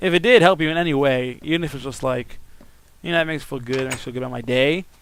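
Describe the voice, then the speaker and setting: A man at medium pitch talks very fast with noticeable background noise behind him. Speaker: YouTuber. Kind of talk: casual vlog talk. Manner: halting.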